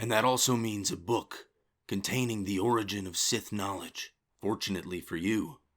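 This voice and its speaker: A man performs a put-on character voice at a fairly low pitch. His pace is moderate and his pitch variation ordinary. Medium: audio drama. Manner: calm, measured.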